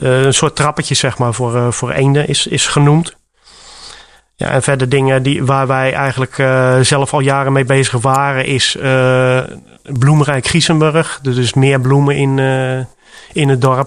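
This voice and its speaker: The delivery is monotone and flat, with very even loudness and long, frequent pauses. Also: man, medium pitch for a man, fairly slow pace. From Rotterdam, Netherlands. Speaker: village council volunteer. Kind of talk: radio interview. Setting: village library. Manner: halting, many fillers.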